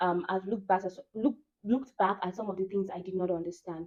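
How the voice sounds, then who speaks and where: With a Nigerian accent, a woman of medium pitch and a dark, mellow tone talks at a fairly quick pace with fairly even intonation. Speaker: vlogger. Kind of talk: casual monologue.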